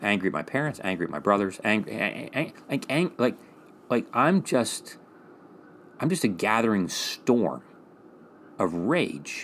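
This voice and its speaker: A man's voice swings very widely in pitch, with vocal fry and long, frequent pauses. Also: medium pitch for a man, fairly slow pace. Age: 50s. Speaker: psychiatrist and podcast co-host. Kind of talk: casual educational conversation.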